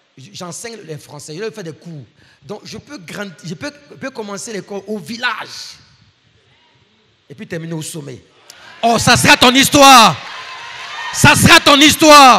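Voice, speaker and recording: A man's raised, projected voice, high in pitch with very wide pitch swings and big swings in loudness, at a fairly slow pace with long, frequent pauses. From Ivory Coast. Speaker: guest preacher and professor. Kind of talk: sermon.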